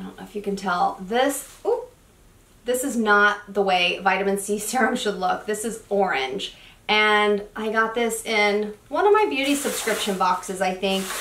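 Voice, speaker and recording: A woman speaks at a medium pitch with ordinary pitch variation. Audible room echo surrounds her voice. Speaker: beauty youtuber. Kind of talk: product review. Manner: fast; casual, chatty.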